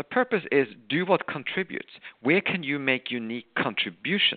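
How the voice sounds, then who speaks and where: Very wide pitch swings run through the speech. A man delivers it at a moderate pace. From Norway. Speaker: author and management professor. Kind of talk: interview.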